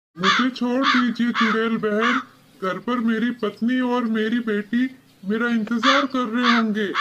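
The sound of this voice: This cartoonish character voice sits at a fairly high pitch and moves at a fairly slow pace.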